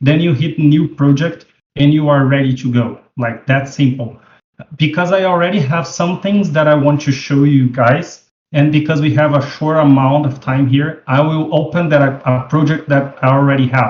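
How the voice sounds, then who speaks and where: A man with a fairly high pitch and a somewhat breathy voice speaks at a moderate pace with fairly even intonation. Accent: non-native. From Brazil. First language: Portuguese. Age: 40s. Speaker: 3D web developer. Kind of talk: tutorial. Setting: video call. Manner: casual, halting with fillers.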